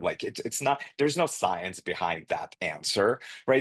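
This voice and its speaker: A man's medium-pitched voice with vocal fry comes through dry and close with no echo, over a quiet background. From immigrant to the US as refugee. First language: not English. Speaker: nursing education executive. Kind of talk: podcast interview.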